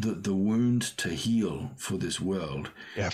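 This is a man speaking. His pace is fairly slow. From Australia. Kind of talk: casual chat. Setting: video call.

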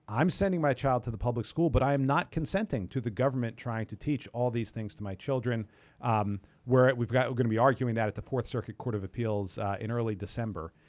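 Against a quiet background, a man with an American accent talks at a very fast pace in a medium pitch with ordinary pitch variation. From US Northeast (New York). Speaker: lawyer and law professor. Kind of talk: interview.

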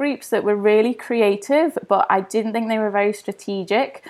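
Woman with a London accent and medium pitch, ordinary pitch variation, very clean recording with a silent background. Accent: southern English, London. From East London. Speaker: craft activist, author and campaigner. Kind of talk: casual interview.

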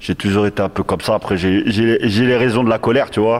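Holding a moderate pace, a man speaks in a monotone, flat intonation. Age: 40s. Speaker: rapper. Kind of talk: casual discussion. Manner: halting.

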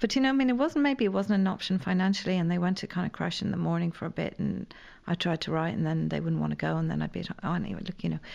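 Behind her, all is quiet. The woman's delivery is very rapid. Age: 50s. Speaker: playwright and newspaper columnist. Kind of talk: casual chat.

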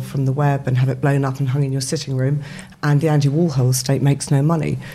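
A woman's very deep, low, somewhat breathy voice, dark and mellow in tone, with monotone, flat intonation and a very fast pace. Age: 50s. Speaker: startup co-founder. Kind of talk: casual interview. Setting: studio.

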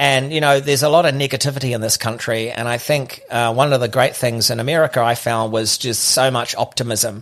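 A man with a New Zealand accent, medium pitch and a moderate pace. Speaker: podcaster. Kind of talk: casual chat. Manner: halting.

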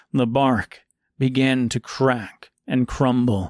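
The speaker reads in a natural reading voice. Little can be heard in the quiet background.

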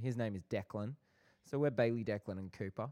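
A man's medium-pitched, dark, mellow voice with an Australian accent, dry and close with no echo. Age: 20s. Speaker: podcast co-host, film and TV worker. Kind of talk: casual chat.

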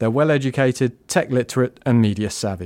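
A man with a British accent and a medium pitch, at a fairly quick pace, on a very clean recording with a silent background and a dry, close sound with no echo. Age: 30s. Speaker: podcast producer. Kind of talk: scripted narration.

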